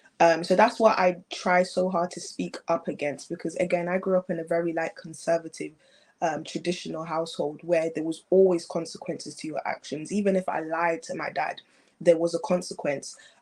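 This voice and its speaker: With a British accent, a woman talks at a fairly low pitch and with fairly even intonation. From England. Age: young. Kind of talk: interview answer.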